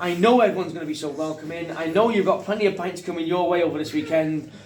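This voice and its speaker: There is audible room echo and noticeable background noise as a man with a North Welsh accent speaks in a high pitch. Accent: north Welsh (Wrexham). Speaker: fan channel host. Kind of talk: casual vlog chat. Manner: animated; whispering.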